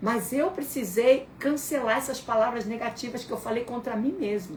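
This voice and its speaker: A woman speaks at a moderate pace in a high voice, her intonation lively and her tone animated. The room echo is audible, and there is noticeable background noise. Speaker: pastor. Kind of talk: sermon. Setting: voice recording in a messaging group.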